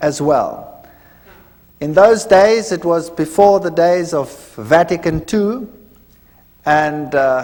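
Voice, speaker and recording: Against noticeable background noise, a man with a high pitch speaks very slowly with lively intonation. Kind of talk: testimony. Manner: hesitant at the start.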